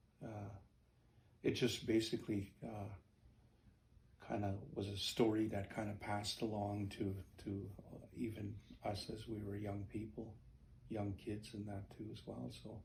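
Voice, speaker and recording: With audible room echo around him, a man with a fairly low, somewhat breathy voice speaks at a fairly slow pace, with fairly even intonation and long, frequent pauses. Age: 60s. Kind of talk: interview storytelling. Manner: halting, many fillers.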